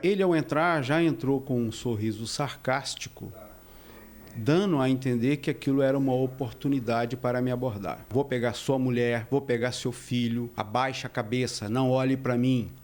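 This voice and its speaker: Here is a man with a plain, everyday voice at medium pitch. His pitch varies in an ordinary way while his loudness stays very even. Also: moderate pace. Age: 60s. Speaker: building manager, assault victim. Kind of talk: news interview.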